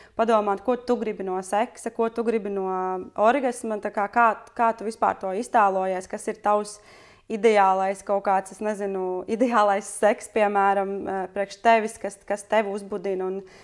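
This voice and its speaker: The voice stays monotone and flat against a quiet background. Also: woman. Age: 30s. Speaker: friend of the host. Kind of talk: casual chat. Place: home room.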